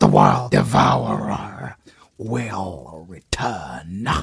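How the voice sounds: A man puts on a character voice in a British accent, low-pitched with a husky, rough edge and vocal fry. He speaks very slowly, his pitch swinging very widely.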